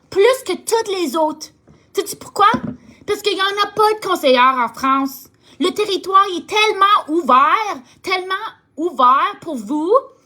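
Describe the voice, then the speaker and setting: A woman speaks in an extremely high, raised and projected voice. Her intonation is lively. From Ontario, Canada (Franco-Ontarian). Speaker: direct sales team leader. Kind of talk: motivational talk to sales team. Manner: halting, searches for words; warm, enthusiastic.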